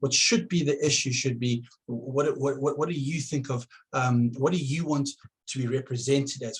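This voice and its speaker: At a moderate pace, a man with fairly high pitch speaks in a somewhat breathy voice with ordinary pitch variation. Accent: South African. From South Africa. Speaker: political candidate. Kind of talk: campaign address to camera. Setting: at home. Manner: halting, many repetitions.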